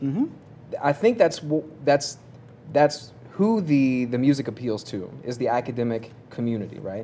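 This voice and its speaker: In a plain, everyday voice, a man with an American accent talks at a moderate pace, his medium pitch carrying lively intonation. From Kentucky, US. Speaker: recording artist, rapper. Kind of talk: roundtable discussion.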